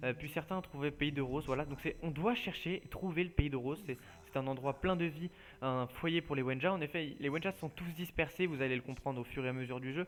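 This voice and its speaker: Speaking at a fairly quick pace, this man has a fairly high voice. The variation in his pitch is ordinary. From France. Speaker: gaming youtuber. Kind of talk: let's play commentary. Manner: hesitant, many fillers; casual.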